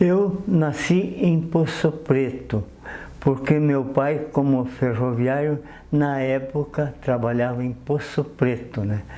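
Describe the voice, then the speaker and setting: Over noticeable background noise, a man talks at a very slow pace and a fairly high pitch with ordinary pitch variation. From southern Brazil (Marcílio Dias, Santa Catarina). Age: 80s+. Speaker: retired railway worker. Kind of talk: TV interview. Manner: halting.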